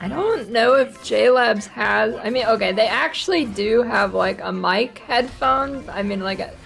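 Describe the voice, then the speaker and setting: A woman talks at a fairly slow pace with hardly any pauses. Noticeable background noise runs underneath. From northeastern US. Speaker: video game streamer. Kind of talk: casual gaming livestream chat.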